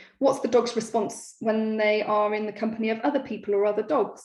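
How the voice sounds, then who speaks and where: A woman speaks with a fairly high pitch at a fairly quick pace. Audible room echo surrounds her voice. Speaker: dog behaviour specialist. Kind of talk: lecture. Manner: fast.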